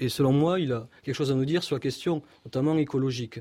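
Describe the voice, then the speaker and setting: In a southern French accent, a man speaks at a moderate pace with a fairly high pitch and ordinary pitch variation. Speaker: philosopher. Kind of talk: radio interview.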